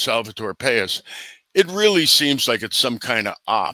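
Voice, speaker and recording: Against a quiet background, a man talks at a fairly slow pace with a bright, sharp tone in a dry sound with no echo. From New Jersey. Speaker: bigfoot researcher and author; podcast guest. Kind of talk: interview conversation. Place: home room.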